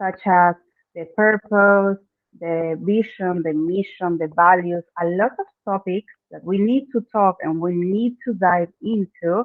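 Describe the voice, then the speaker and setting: A woman speaks very slowly in an Argentine accent. Her voice sits at a medium pitch, with fairly even intonation. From Argentina. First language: Spanish. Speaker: branding expert. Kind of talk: interview. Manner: halting, non-native phrasing.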